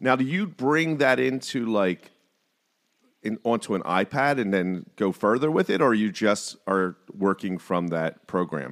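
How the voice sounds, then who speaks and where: Fairly low in pitch, a man speaks at a fairly slow pace with very wide pitch swings, on a very clean recording with a silent background. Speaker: podcast host. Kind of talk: casual interview.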